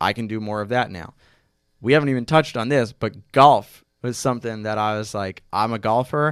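In a very clean recording with a silent background, a normal speaking voice goes at a fairly quick pace with ordinary pitch variation and big swings in loudness. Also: man, medium pitch for a man. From New York, Westchester. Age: 20s. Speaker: sports journalist. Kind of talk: podcast interview. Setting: studio.

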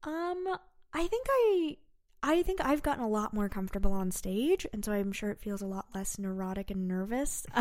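A woman with a Californian accent, fairly high-pitched, at a moderate pace with very wide pitch swings. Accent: Californian American English. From San Francisco Bay Area, California. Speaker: comedy writer. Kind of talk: casual interview.

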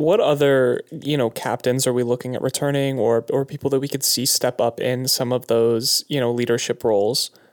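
A man with a normal speaking voice talks at medium pitch and a moderate pace, with hardly any pauses, fairly even intonation, very even loudness, and a dry, close sound with no echo. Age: 20s. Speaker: sports journalist. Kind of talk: casual chat. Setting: home studio.

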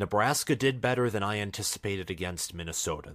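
On a very clean recording with a silent background, a man with a fairly low pitch talks at a moderate pace using lively intonation. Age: 20s. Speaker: college football YouTuber. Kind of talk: solo commentary monologue.

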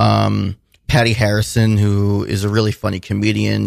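Very clean, with a silent background, the recording captures a man speaking. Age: 20s. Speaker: filmmaker and musician. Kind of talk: casual interview. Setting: radio studio.

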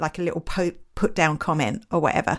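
With an Essex accent, a woman talks at a fairly quick pace in an animated tone. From Essex, England. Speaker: podcast host. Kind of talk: casual chat. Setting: live audio event online. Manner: animated, laughs often.

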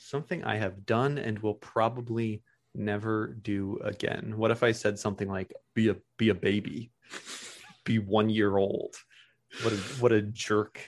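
An unremarkable speaking voice at a fairly slow pace over a quiet background. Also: man, fairly low pitch for a man, fairly even intonation. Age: 20s. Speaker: podcast guest. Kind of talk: casual chat.

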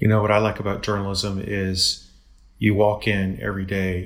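This man's voice is very deep and low in pitch, with a somewhat breathy quality. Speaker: podcast host and university dean. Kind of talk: casual interview.

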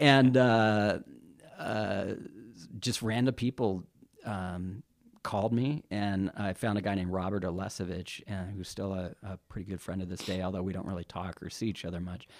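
A man with a normal speaking voice and an American accent, fairly low in pitch, at a moderate pace with fairly even intonation. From Carson City, Nevada. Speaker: rock drummer. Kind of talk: interview.

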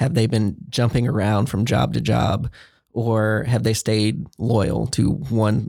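In an American accent, a man speaks at a very slow pace and fairly low pitch, with vocal fry, a dark, mellow tone, very even loudness and ordinary pitch variation. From Central Texas (Waco area). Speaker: director of imaging at emergency rooms. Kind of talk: interview.

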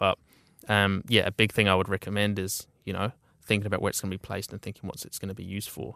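With a New Zealand accent, a man speaks in a fairly low, flat, monotone voice with a bright, sharp tone, recorded very cleanly against a silent background with a dry, close sound and no echo. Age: 20s. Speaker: creative agency founder. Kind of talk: interview.

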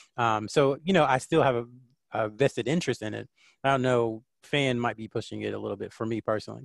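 A man with a Southern US accent talks at a fairly quick pace and medium pitch, with ordinary pitch variation, in a dry, close sound with no echo against a quiet background. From North Carolina, near Fort Bragg. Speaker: sports writer and communications consultant. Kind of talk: casual interview.

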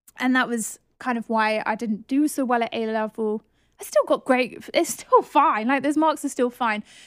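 A high-pitched woman with a southern English accent on a very clean recording with a silent background. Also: ordinary pitch variation, moderate pace, dry, close sound with no echo. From southern England. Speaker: podcast host, property investment coach. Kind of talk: solo podcast monologue, personal story.

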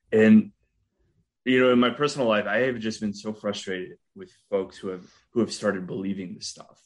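A man's normal speaking voice, fairly low in pitch, at a fairly quick pace with big swings in loudness. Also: ordinary pitch variation. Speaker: podcast interviewer. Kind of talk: interview.

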